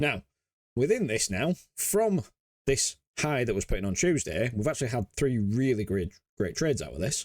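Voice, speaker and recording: At a moderate pace, a man with a Yorkshire accent speaks at a medium pitch with very wide pitch swings and long, frequent pauses, in a dry, close sound with no echo. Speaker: crypto trading educator. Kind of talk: market analysis tutorial. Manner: casual, filler-heavy.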